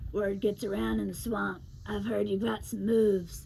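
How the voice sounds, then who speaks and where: A woman uses a put-on character voice that is gravelly and raspy. She talks at a moderate pace over clear background noise. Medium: read story. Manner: talkative, smooth-talking.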